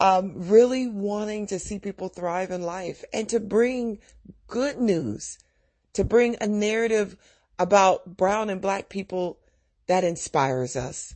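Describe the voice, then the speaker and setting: With a warm, animated tone, a woman talks at a medium pitch and a fairly slow pace, with ordinary pitch variation. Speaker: podcast host. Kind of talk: podcast intro and outro, encouraging. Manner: warm, animated, laughing.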